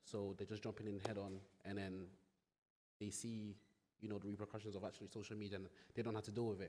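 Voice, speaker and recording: Very fast speech from a man with a dark, mellow tone and fairly low pitch. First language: not English. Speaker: content creator. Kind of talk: panel discussion. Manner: halting.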